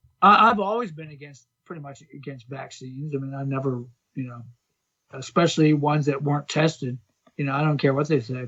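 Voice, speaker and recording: Using an unremarkable speaking voice, a man with an American accent talks fairly quickly at a fairly high pitch, with ordinary pitch variation and big swings in loudness. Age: 60s. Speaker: fitness coach. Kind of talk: casual chat.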